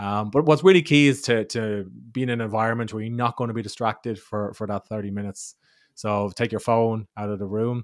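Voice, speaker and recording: The recording is very clean, with a silent background. A man with an ordinary speaking voice talks fairly quickly at a medium pitch, with ordinary pitch variation. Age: 40s. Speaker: author and writing podcaster. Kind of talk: casual interview.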